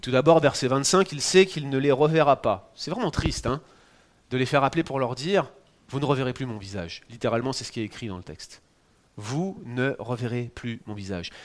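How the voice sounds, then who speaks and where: Against a silent background on a very clean recording, a man speaks with a fairly high pitch. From France. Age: 40s. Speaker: pastor. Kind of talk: sermon. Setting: church.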